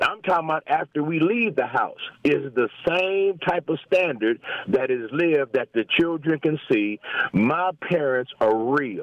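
Noticeable background noise runs behind a fairly slow delivery with lively intonation and very even loudness. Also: man, fairly high pitch for a man. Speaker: pastor caller. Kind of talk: phone call commentary. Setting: phone call.

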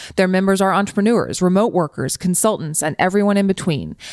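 Speaking at a very fast pace, a woman with a medium pitch keeps her intonation fairly even in a very clean recording with a silent background. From US South. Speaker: podcast host. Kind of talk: casual interview chat.

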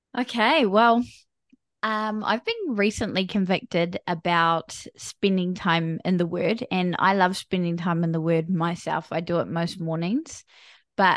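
With a New Zealand accent, a woman talks at a fairly slow pace and a fairly low pitch with ordinary pitch variation, the sound dry and close with no echo over a quiet background. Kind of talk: interview.

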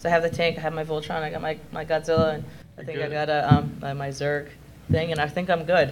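The speaker talks very fast in a flat, monotone way, loudness swinging widely, with audible room echo and noticeable background noise. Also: woman, very deep, low pitch for a woman. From Japan. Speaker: special effects artist. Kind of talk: convention panel discussion.

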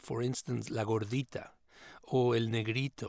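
A man with a Mexican accent at a moderate pace, in a very clean recording with a silent background. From Mexico. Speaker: writer and scholar. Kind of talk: interview.

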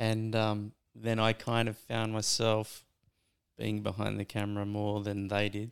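A man's fairly low pitch in an Australian accent, with monotone, flat intonation at a fairly slow pace. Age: 40s. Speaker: surf filmmaker. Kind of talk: casual chat.

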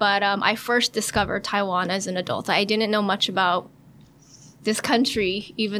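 A woman speaks at a moderate pace in a medium pitch. Her intonation is flat and monotone. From US, San Francisco, California. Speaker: travel blogger and life coach. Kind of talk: bilingual podcast interview.

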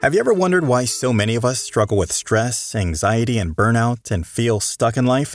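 With an unremarkable speaking voice, the speaker uses lively intonation at a fairly quick pace with hardly any pauses, on a very clean recording with a silent background. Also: man, medium pitch for a man. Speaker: show announcer. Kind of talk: scripted narration.

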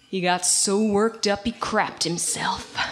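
A woman's booming, put-on character voice, medium in pitch, monotone and flat, at a moderate pace. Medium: read story. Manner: loud, blustering, bellowing.

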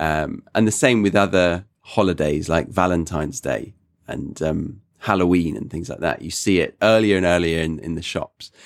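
A man with a very deep, low voice talks at a moderate pace with hardly any pauses, on a very clean recording with a silent background. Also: ordinary pitch variation. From England. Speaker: English teacher, podcast host. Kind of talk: casual chat, English lesson podcast.

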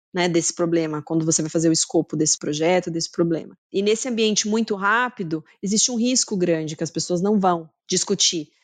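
With an unremarkable speaking voice, a woman talks at a fairly quick pace with hardly any pauses, a fairly low pitch, ordinary pitch variation and very even loudness over a quiet background. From Brazil, Campinas (São Paulo state). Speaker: marketing executive. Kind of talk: interview.

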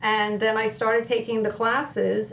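Over noticeable background noise, a woman with an American accent talks at a moderate pace and a fairly high pitch. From northern New Jersey (Wayne). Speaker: school business administrator. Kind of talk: interview.

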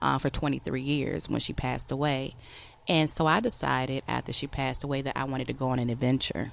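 A woman in an American accent, very deep and low in pitch with vocal fry, at a fairly quick pace against a quiet background. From Virginia. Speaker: army veteran. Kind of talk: interview. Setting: studio.

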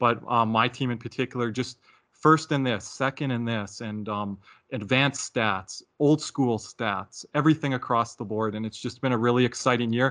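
Against a quiet background, a man with a plain, everyday voice speaks at a moderate pace and medium pitch, his intonation fairly even. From Calgary, Alberta, Canada. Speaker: hockey fan podcast guest. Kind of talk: casual chat.

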